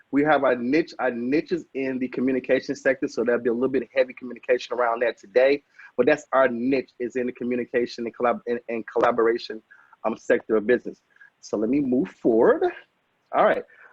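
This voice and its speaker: Very fast and energetic in tone, a man with an American accent speaks at a medium pitch. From Chicago, with Alabama roots. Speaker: technology consultant, business trainer. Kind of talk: webinar presentation. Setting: video call. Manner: energetic, preacher-like.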